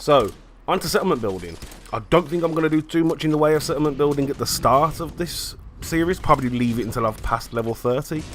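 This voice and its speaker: Speaking at a very fast pace, a man uses lively intonation in a British accent. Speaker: gamer. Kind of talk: casual talk to camera.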